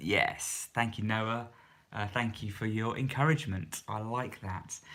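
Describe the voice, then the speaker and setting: A man speaks softly at a medium pitch and a fairly slow pace, his tone bright and sharp. The recording is very clean with a silent background. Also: ordinary pitch variation. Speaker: YouTuber and charity leader. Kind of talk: live stream Q&A. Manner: soft-spoken; hesitant, many fillers.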